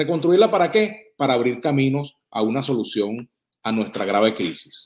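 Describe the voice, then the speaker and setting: Over a quiet background, a man at medium pitch speaks at a moderate pace, his voice making very wide pitch swings. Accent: Venezuelan. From Venezuela. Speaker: journalist and political commentator; journalist, political commentator. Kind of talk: political commentary monologue. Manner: formal. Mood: earnest, critical.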